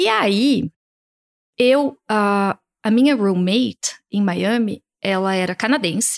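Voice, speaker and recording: A woman's medium-pitched voice at a very slow pace, with ordinary pitch variation and a dry, close sound free of echo. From Brazil, Piracicaba, interior of São Paulo state. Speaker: image and style consultant. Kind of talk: casual interview.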